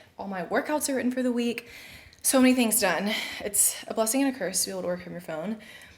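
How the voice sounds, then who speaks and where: Noticeable background noise runs through the clip. The voice belongs to a woman. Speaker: fitness trainer and mom vlogger. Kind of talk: casual vlog narration. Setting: at home.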